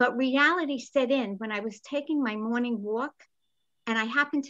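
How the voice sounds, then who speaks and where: Someone with a New York accent speaks at a moderate pace against a quiet background. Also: woman. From New York City, the Bronx. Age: 70s. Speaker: comedian. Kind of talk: stand-up.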